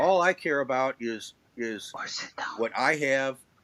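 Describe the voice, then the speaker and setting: There is noticeable background noise behind this man's medium-pitched voice. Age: 70s. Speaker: livestream panelist. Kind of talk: casual discussion. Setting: livestream.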